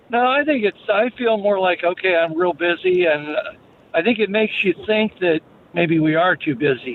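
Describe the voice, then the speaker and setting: This man speaks at a high pitch with lively intonation and very even loudness, over noticeable background noise. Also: moderate pace. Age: 70s. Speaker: caller. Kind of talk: call-in radio chat.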